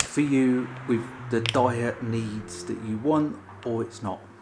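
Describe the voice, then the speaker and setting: A man talks with fairly even intonation. Noticeable background noise can be heard. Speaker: food reviewer. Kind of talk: casual vlog chat. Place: kitchen. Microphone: phone near.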